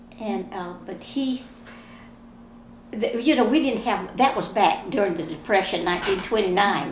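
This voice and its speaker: With a South Carolina accent and lively intonation, a woman speaks at a moderate pace over noticeable background noise and audible room echo. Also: medium pitch for a woman. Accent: US Southern (South Carolina). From South Carolina, Columbia. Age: 80s+. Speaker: oral history interviewee. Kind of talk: oral history interview.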